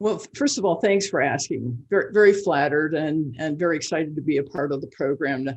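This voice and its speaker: Speaking at a fairly quick pace with hardly any pauses, a woman uses a very deep, low pitch and ordinary pitch variation. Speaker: forester. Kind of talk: interview answer. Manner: hesitant, many fillers.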